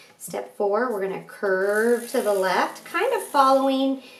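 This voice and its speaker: Over noticeable background noise, a woman talks at a very slow pace with a fairly high pitch and lively intonation. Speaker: art teacher. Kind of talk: tutorial.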